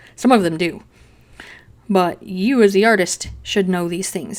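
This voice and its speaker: A woman's voice sits at a medium pitch. It rises and falls in an ordinary way. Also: very clean recording, silent background. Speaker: digital pet artist. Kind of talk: tutorial narration over drawing. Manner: fast; casual, chatty.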